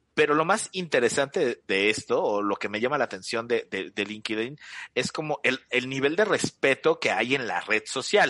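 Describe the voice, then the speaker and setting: Medium-pitched male speech with a bright, sharp tone and lively intonation, moderate in pace, dry and close with no echo against a quiet background. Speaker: radio and podcast host. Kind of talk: interview. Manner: hesitant, repeats words.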